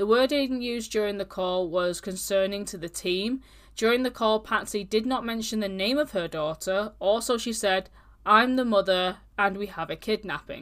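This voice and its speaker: In a very clean recording with a silent background, a woman with a British accent talks at a moderate pace and medium pitch, with ordinary pitch variation. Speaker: true crime podcast host. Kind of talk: casual true crime storytelling. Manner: casual, animated.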